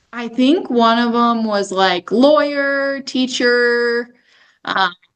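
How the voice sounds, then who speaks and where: The speech moves at a very slow pace, with ordinary pitch variation. It comes in a South Dakota accent. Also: woman, high pitch for a woman. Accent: South Dakota accent, mistaken for Canadian. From South Dakota, Sioux Falls. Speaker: senior home care director. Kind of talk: podcast interview.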